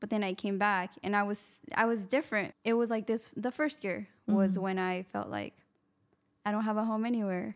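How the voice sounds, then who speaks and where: In a very clean recording against a silent background, a woman uses a plain, everyday voice. Her pitch is medium and her intonation fairly even as she moves at a moderate pace. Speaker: podcast co-host. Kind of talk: casual interview.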